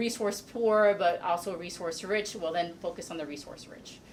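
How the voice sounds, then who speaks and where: Over noticeable background noise, the speaker talks at a fairly quick pace with fairly even intonation. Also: woman. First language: Spanish. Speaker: panelist. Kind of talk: panel discussion.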